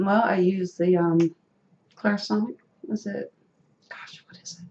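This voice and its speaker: Using a Southern US accent, a woman speaks at medium pitch and a fairly slow pace, with ordinary pitch variation and big swings in loudness. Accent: Southern US country. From rural North Carolina, US South. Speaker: dental implant patient. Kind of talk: casual interview.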